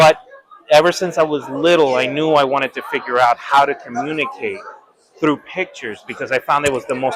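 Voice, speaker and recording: Ordinary pitch variation at a fairly quick pace. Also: man. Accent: Spanish. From Puerto Rico. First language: Spanish. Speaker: art professor. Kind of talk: interview. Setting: convention hall.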